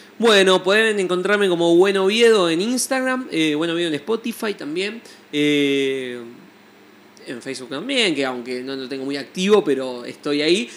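At a moderate pace, a man speaks in a high voice whose pitch swings very widely. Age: 20s. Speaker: musician and music teacher. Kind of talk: interview. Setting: studio. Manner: hesitant, many fillers and repetitions.

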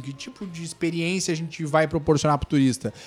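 A man is speaking. His pace is fairly quick. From Torres, Rio Grande do Sul, southern Brazil. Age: 30s. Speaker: municipal tourism secretary. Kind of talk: casual interview chat. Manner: animated, informal.

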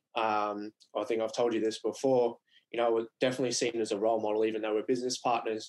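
Speaking very fast with an Australian accent, a man keeps a medium pitch and a monotone, flat intonation. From Queensland, Australia (Mackay). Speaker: business co-founder and former tradesman. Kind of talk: casual interview.

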